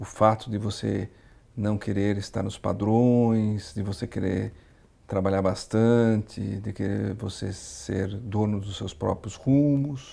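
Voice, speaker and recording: This voice has a dark, mellow tone and moves at a very slow pace. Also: man. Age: 60s. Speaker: entrepreneur. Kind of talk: interview. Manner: halting, many fillers.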